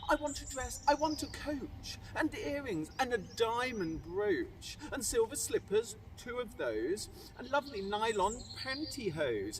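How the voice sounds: With clear background noise, a man uses a put-on character voice at an extremely high pitch with big pitch swings. He speaks at a fairly slow pace with few pauses.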